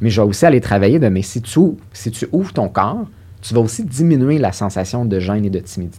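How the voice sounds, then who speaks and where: A man speaks at a fairly quick pace in a fairly low pitch, with a dark, mellow tone and ordinary pitch variation. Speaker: sexologist and psychotherapist. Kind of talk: interview.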